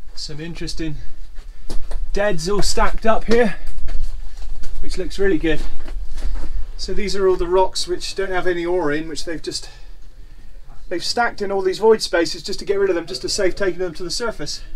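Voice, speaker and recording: A man talks at a moderate pace with long, frequent pauses over light background noise. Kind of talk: casual exploration commentary. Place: tunnel cave. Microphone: phone near.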